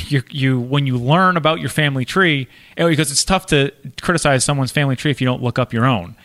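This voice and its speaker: Here is a man with a plain, everyday voice, pitched fairly high with ordinary pitch variation. He talks at a fairly quick pace, and the sound is dry and close with no echo. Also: very clean recording, silent background. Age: 30s. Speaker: podcast co-host. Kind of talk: casual chat.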